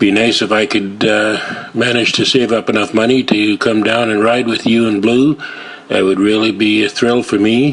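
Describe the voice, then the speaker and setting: A man with a western Canadian accent, fairly low pitch, monotone, flat intonation and a moderate pace, over noticeable background noise. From western Canada (Surrey, British Columbia). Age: 60s. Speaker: viewer sending a video message. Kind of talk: personal video message and testimony. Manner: halting, many filler words.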